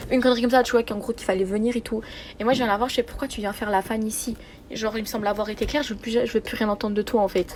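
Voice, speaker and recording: This woman talks very fast in a fairly high voice. Her intonation is flat and monotone. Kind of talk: voice message testimony. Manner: casual, slangy.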